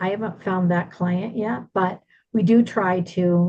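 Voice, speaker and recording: Somewhat breathy speech with a dark, mellow tone. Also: woman. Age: 60s. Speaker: relocation business owner. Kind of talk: presentation to a business group.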